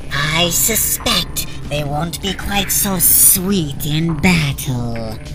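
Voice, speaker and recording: A put-on character voice at low-to-middle pitch, very slow in pace, over loud background noise. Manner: calm, formal.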